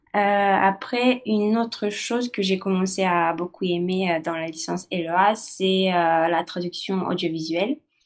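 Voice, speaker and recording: Against a quiet background, a woman talks at a fairly slow pace with hardly any pauses, using a medium pitch and ordinary pitch variation. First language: not French (speaking French). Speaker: university student. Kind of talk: testimony. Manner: halting, many hesitations.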